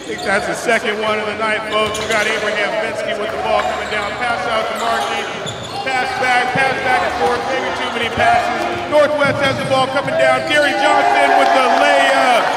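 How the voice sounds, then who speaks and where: Loud background noise and audible room echo fill the recording. The speech keeps a moderate pace. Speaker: play-by-play announcer. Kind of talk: commentary. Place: hall.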